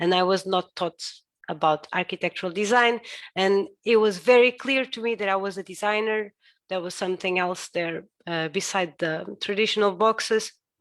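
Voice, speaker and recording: A woman with a Portuguese accent speaks at a medium pitch and a moderate pace. Her pitch variation is ordinary, and the recording is very clean with a silent background. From Portugal. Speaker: architect. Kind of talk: lecture. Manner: halting.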